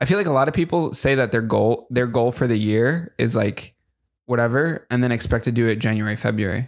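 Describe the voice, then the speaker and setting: A man with an ordinary speaking voice talks at a fairly quick pace, with medium pitch and ordinary pitch variation. His loudness stays very even, and the recording is very clean with a silent background. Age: 20s. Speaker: podcast co-host. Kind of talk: casual chat. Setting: studio.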